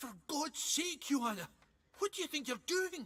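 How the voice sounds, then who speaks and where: The voice is a high-pitched, put-on character voice. It moves along at a moderate pace. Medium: video game. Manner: gruff, colloquial.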